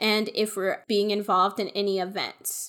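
The recording is very clean, with a silent background. A woman with a fairly high pitch and an unremarkable speaking voice talks at a fairly slow pace with fairly even intonation. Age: 20s. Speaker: podcast co-host. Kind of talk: casual chat.

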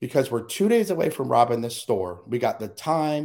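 A man talks in an American accent. His tone is animated and his pace moderate. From US Southwest and Midwest. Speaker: interview guest, speaker on overcoming abuse. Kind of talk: personal testimony in interview. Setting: video call.

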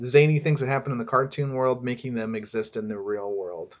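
The man speaks at medium pitch. The background stays quiet. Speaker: podcast co-host. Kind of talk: casual chat. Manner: hesitant, filler words.

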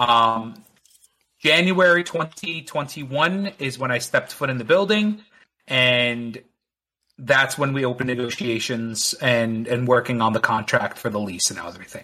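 An American accent marks this man's unremarkable speaking voice, pitched at medium height, fairly slow in pace and lively in intonation. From New Jersey, Bergen County. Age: 30s. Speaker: small business owner. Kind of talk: casual chat.

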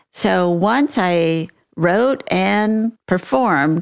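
Over a very clean recording with a silent background, a woman talks with lively intonation. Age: 70s. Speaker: podcast host. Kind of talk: casual interview.

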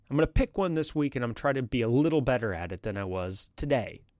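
An unremarkable speaking voice at a fairly quick pace, dry and close with no echo, in a very clean recording with a silent background. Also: man. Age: 30s. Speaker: podcast host. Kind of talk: solo monologue podcast. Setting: live stream with chat.

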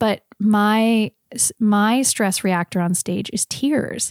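A woman speaks in an ordinary speaking voice at medium pitch with ordinary pitch variation, recorded very cleanly against a silent background with a dry, close sound and no echo. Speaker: singer-songwriter. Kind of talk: casual interview.

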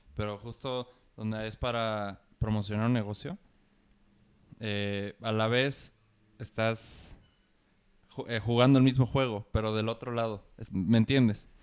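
A man's medium-pitched voice with a Mexican accent, monotone and flat, at a fairly slow pace with long, frequent pauses, in a very clean recording over a silent background. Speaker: student podcaster. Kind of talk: casual chat.

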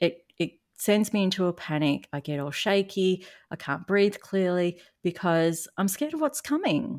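A woman with an Australian accent and lively intonation, on a very clean recording with a silent background. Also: medium pitch for a woman, moderate pace. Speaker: narcissistic abuse recovery coach. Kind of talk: casual interview chat.

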